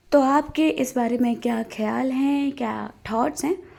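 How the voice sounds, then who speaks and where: High pitch from a woman, with a dark, mellow tone. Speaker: vlogger. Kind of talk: vlog narration. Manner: casual, chatty.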